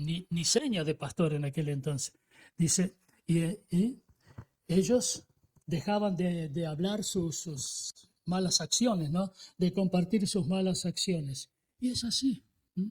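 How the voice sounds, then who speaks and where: In a dry, close recording with no echo, a man with a high voice speaks at a very slow pace, with long, frequent pauses and ordinary pitch variation. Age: 80s+. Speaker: pastor. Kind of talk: sermon. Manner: hesitant, many fillers and repetitions.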